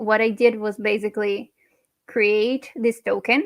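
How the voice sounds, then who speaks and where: Speaking with a non-native accent, a woman takes a very slow pace. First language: not English. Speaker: NFT artist. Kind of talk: personal talk at online panel event.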